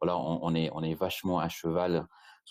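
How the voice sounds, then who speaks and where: Here a man speaks with a very deep, low pitch. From Britain. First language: English (speaking French). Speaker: e-commerce agency founder. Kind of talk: webinar presentation. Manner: halting, many repetitions and fillers.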